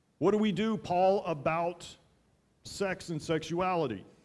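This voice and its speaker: The pitch of the man's speech varies in an ordinary way. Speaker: pastor. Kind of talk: sermon. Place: church. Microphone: headset.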